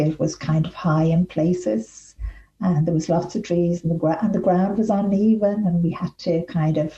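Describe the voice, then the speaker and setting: A fairly low-pitched woman's voice in an Irish accent, with fairly even intonation and noticeable background noise. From Ireland. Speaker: author. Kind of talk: interview answer. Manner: soft-spoken.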